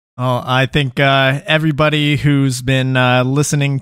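A man talks with an American accent. His intonation is flat and monotone. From Texas. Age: 20s. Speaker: podcast host and paintball player. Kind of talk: casual interview. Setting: live stream.

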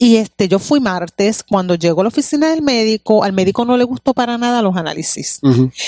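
A woman in a Puerto Rican accent, fairly high-pitched with very wide pitch swings, a dark, mellow tone, a fairly quick pace and hardly any pauses, in dry, close sound with no echo. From Puerto Rico. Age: 40s. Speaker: pastor. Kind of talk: testimony.

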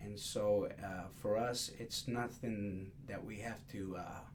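A man talks with fairly even intonation, with audible room echo and noticeable background noise in the recording. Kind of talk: interview conversation. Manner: halting, many fillers.

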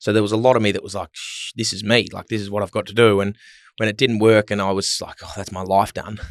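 A man with an Australian accent talks very fast in a monotone, flat way at a fairly low pitch, with big swings in loudness. The recording is very clean and dry and close, with a silent background and no echo. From Melbourne, Australia. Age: 20s. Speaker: retired footballer. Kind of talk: casual chat. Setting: studio.

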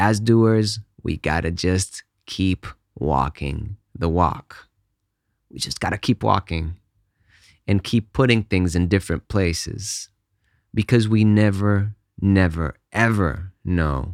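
The speech moves at a very slow pace with long, frequent pauses and ordinary pitch variation, on a very clean recording with a silent background. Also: man, very deep, low pitch for a man. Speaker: podcast host and music composer. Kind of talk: solo podcast monologue, casual. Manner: slow talker; casual, friendly.

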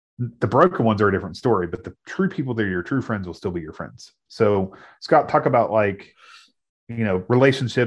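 Here a man with a plain, everyday voice and an American accent talks fairly quickly, at a fairly low pitch, with lively intonation. His loudness swings widely against a quiet background. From US Midwest. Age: 30s. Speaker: pastor and podcast co-host. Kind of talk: casual conversation.

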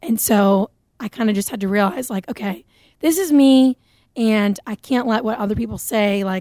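With an American accent, a woman speaks at a moderate pace in a medium pitch with ordinary pitch variation. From New Hampshire, US. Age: 20s. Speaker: singer-songwriter. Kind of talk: casual interview. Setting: radio studio.

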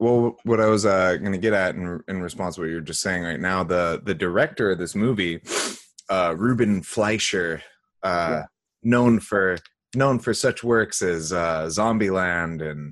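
On a very clean recording with a silent background, a man with a very deep, low voice speaks at a fairly slow pace with ordinary pitch variation. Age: 20s. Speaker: podcast co-host. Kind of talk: casual chat.

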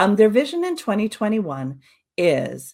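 This woman speaks with a Canadian accent and a fairly high pitch. Her voice is somewhat breathy. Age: 50s. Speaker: social audio consultant. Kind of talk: webinar presentation. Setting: online webinar.

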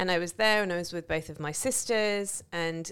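In a normal speaking voice, a woman talks at a fairly low pitch and a moderate pace with fairly even intonation. The recording is very clean with a silent background. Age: 40s. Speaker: podcast host. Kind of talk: casual chat.

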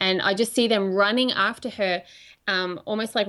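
In a very clean recording with a silent background, a woman with an Australian accent has a bright, sharp tone and fairly even intonation. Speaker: prophetic minister. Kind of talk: casual chat.

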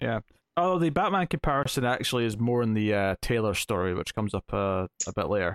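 Very fast speech with a Scottish accent, lively intonation and very even loudness, in a dry, close sound with no echo. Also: man, medium pitch for a man. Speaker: podcast host. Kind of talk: casual chat.

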